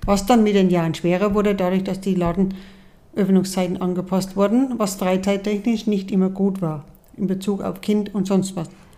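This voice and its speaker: A woman with a dark, mellow tone speaks in a monotone, flat intonation, with audible room echo. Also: medium pitch for a woman, moderate pace. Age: 60s. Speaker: mother of the host. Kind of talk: casual chat. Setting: sitting together in person.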